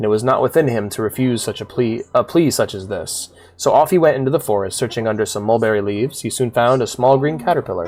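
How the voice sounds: Here is a natural reading voice. Its intonation is lively.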